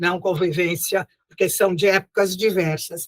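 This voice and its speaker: A woman uses a raised, projected voice with a bright, sharp tone at a fairly slow pace. The sound is dry and close with no echo. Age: 80s+. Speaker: spiritist lecturer and teacher. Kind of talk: lecture. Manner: warm, conversational.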